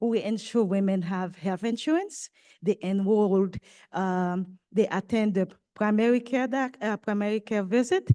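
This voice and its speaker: Against a quiet background, a woman with a French accent speaks at a fairly slow pace in a dark, mellow tone, her pitch fairly high with ordinary variation. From Haiti. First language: French or Haitian Creole. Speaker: nonprofit maternal health leader. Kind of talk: panel talk. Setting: conference with live audience.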